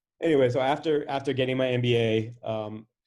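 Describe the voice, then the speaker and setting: A man is talking. His intonation remains fairly even. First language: Spanish. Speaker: venture capitalist. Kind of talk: interview.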